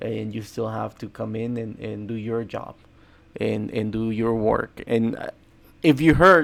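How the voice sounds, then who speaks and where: In a Spanish accent, a man with a medium-pitched voice talks at a fairly slow pace, with ordinary pitch variation and big swings in loudness. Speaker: day trader and trading educator. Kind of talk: trading commentary to camera. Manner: halting, many repetitions.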